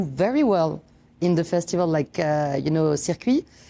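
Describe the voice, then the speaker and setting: Her dark, mellow tone carries lively intonation as a woman speaks with a French accent. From France. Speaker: film director. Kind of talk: interview. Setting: film festival interview.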